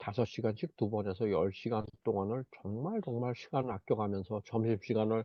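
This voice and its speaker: A man talks at a fairly slow pace. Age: 60s. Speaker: network marketing group leader. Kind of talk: online group meeting talk. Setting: video call. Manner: hesitant, with many fillers.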